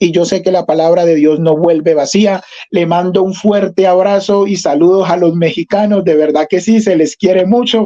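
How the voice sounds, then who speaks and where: This man has a high pitch and a dark, mellow tone. He speaks with hardly any pauses. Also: fairly even intonation, moderate pace, very even loudness. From Colombia. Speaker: pentecostal preacher. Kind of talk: religious interview.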